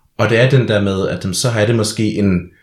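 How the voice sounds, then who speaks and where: A man speaks in a somewhat breathy voice with fairly even intonation. The recording is very clean, the background silent. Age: 20s. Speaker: drag performer and social science student. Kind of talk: casual chat. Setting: studio.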